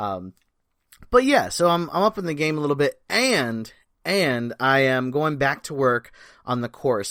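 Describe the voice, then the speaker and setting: Moderate-paced male speech, very cleanly recorded over a silent background. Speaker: podcast host and performer coach. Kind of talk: casual monologue podcast. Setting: home desk setup, seated. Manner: conversational with many fillers. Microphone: new mic on arm, higher quality.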